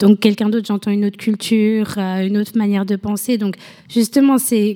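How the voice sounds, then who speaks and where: The woman speaking has a dark, mellow tone. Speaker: photographer and project founder. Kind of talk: radio interview.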